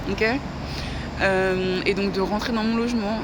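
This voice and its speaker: The intonation stays fairly even. Noticeable background noise and audible room echo are present. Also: woman. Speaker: vlogger. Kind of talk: casual monologue vlog. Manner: slurred articulation.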